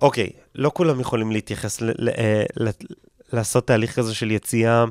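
A man at a medium pitch, in a very clean recording with a silent background and a dry, close sound with no echo. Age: 20s. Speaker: comedian and content creator. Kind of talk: casual interview. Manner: halting.

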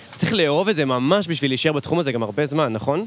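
Noticeable background noise surrounds a man speaking with lively intonation. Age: 20s. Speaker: podcast co-host doing street interviews. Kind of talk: casual street interview chat. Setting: outdoors on a city street.

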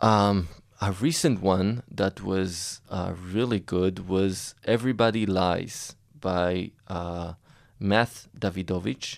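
On a very clean recording with a silent background, a man speaks in a very deep, low pitch with an Israeli accent. His pitch variation is ordinary and his pace very slow. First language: Hebrew. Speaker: medical investor and entrepreneur. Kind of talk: interview. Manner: halting, many fillers and repetitions.

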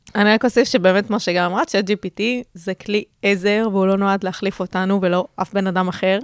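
A woman with a plain, everyday voice speaks at medium pitch and a moderate pace with fairly even intonation, the sound dry and close with no echo on a very clean recording with a silent background. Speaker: podcast co-host, marketing worker and student. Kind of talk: casual chat.

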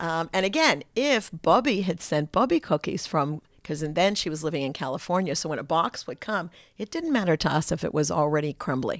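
A woman with an American accent uses a plain, everyday voice, fairly low in pitch with lively intonation, on a very clean recording with a silent background. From United States. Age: 60s. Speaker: grandmother and trip concierge. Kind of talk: casual interview chat.

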